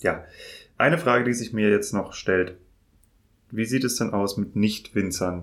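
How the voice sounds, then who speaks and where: Pausing long and often, a man speaks at a very slow pace in a fairly low pitch with ordinary pitch variation. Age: 30s. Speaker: wine podcast host and trade journalist. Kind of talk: interview. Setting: in-person studio at an agency in Mainz.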